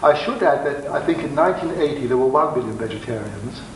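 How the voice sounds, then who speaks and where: Noticeable background noise runs through the clip. The room echo is audible. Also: man. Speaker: doctor giving a lecture. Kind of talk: lecture. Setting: festival lecture hall with audience. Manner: fast; partly reading aloud.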